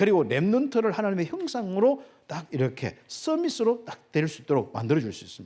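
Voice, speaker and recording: The man's dark, mellow voice moves at a fairly quick pace through very wide pitch swings. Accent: Gyeongsang. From Gyeongsang Province, South Korea. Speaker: pastor. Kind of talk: sermon. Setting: church.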